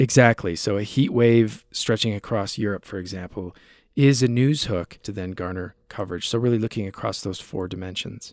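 Speaking in an ordinary speaking voice with an American accent, a man uses fairly low pitch, ordinary pitch variation and a moderate pace. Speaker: media researcher. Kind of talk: interview.

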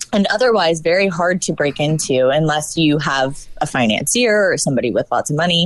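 This is a normal speaking voice, fairly quick with lively intonation and very even loudness. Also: woman, fairly low pitch for a woman. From northern Virginia, US South. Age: young. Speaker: actress and film producer. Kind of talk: casual chat.

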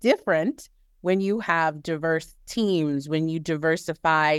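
Recorded very cleanly against a silent background with a dry, close sound and no echo, a woman with a normal speaking voice talks at a fairly slow pace in a fairly low pitch with ordinary pitch variation. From New Orleans, US South. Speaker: corporate communications manager. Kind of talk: interview.

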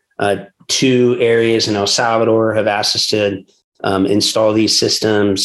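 A plain, everyday voice comes through with an American accent. The pitch variation is ordinary. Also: man. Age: 40s. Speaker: pastor and church planter. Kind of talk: interview conversation.

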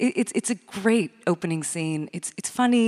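With lively intonation and a moderate pace, a woman speaks in an unremarkable speaking voice, the sound dry and close with no echo. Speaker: literary critic and interviewer. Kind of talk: onstage interview. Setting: stage with audience.

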